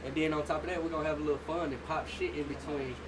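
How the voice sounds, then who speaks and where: A man's fairly high voice, with audible room echo and noticeable background noise. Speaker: livestreamer and tattoo artist. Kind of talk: casual livestream talk to viewers. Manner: monotone; quiet, laid back.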